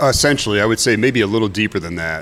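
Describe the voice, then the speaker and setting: Here a man talks with an American accent. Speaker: brewery owner. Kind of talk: casual interview.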